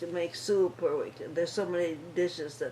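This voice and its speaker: Noticeable background noise sits under a woman speaking at a fairly low pitch. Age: 80s+. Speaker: retired nurse. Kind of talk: interview answer.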